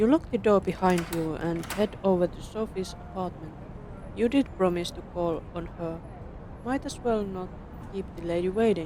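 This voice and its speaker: The speech keeps a moderate pace while noticeable background noise can be heard. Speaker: vtuber streamer. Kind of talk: reading game text aloud. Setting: live stream.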